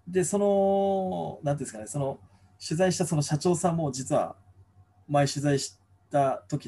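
A man's somewhat breathy voice, dark and mellow in tone, fairly high in pitch, with very wide pitch swings. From Kumamoto, Japan. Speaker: former local newspaper reporter. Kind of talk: casual chat. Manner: many fillers.

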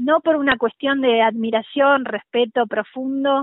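A woman speaks with ordinary pitch variation. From Argentina, La Pampa. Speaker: journalist. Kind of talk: interview.

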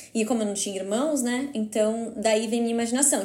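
In a room with audible echo, a woman talks at a very fast pace with fairly even intonation. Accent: Brazilian. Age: 20s. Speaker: photographer. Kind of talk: casual interview chat.

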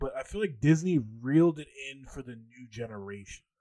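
In an animated tone, a man talks at a moderate pace with a fairly high pitch. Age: 20s. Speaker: podcast co-host. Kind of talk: casual chat.

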